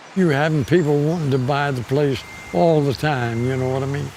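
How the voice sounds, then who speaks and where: With noticeable background noise, a man speaks in an American accent with ordinary pitch variation. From Maryland, USA. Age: 80s+. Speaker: farmer. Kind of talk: interview answer.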